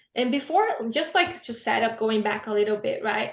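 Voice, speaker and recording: A woman with a Brazilian Portuguese accent, fairly high in pitch, at a moderate pace. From Brazil, Blumenau (Santa Catarina). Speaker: business graduate sharing language-learning story. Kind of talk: webinar talk. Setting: online webinar.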